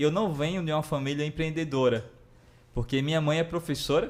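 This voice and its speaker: Someone speaks at a moderate pace with a Ceará accent. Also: man. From Brazil, Ceará. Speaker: entrepreneur, former bank worker. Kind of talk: live podcast interview.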